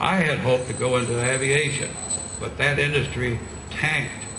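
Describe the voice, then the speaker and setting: A man is speaking. The recording carries audible room echo and noticeable background noise. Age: 90s. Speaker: war veteran. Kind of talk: rally speech. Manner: halting.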